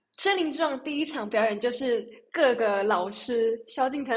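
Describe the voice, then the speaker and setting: Speaking with ordinary pitch variation, a woman uses a fairly high pitch. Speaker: singer. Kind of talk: casual chat.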